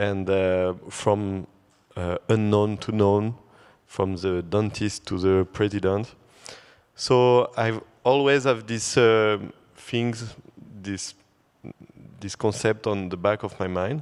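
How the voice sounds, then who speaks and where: A man with a French accent speaks at a very slow pace with long, frequent pauses. His pitch is fairly low and his intonation fairly even. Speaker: photographer. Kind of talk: panel discussion. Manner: halting.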